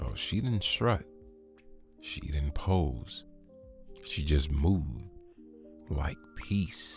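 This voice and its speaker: A soft-spoken man talks with lively intonation in an American accent. Music plays in the background. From Southern US. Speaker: ASMR storyteller. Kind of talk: sleep story. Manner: slow, soft.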